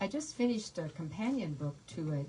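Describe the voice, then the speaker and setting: Over noticeable background noise, a woman speaks quietly in a very deep, low pitch. Her intonation is lively. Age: 80s+. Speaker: author. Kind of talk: author talk at bookstore. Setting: bookstore event with audience. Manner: halting, many fillers; too quiet for the back of the room.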